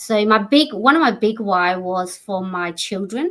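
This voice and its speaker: The speaker is a woman with an Australian accent. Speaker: entrepreneur. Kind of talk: interview.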